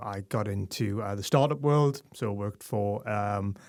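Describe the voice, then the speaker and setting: Speaking in a Geordie accent, a man talks at a fairly slow pace, with a fairly low pitch and ordinary pitch variation. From northern England, Newcastle. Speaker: tech communications director and writer. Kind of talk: podcast interview. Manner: hesitant, many fillers and repetitions.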